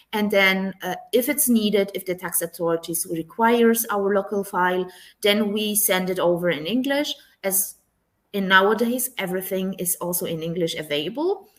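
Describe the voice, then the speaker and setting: A woman with a medium-pitched voice speaks with a non-native accent. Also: ordinary pitch variation, moderate pace. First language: not English. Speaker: tax professional. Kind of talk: webinar interview.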